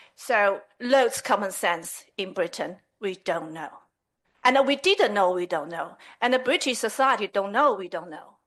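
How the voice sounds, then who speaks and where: A woman with a Chinese accent, medium pitch, lively intonation, big swings in loudness and a fairly slow pace, against a quiet background. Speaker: community representative addressing a town council. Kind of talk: public address at council meeting. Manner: halting.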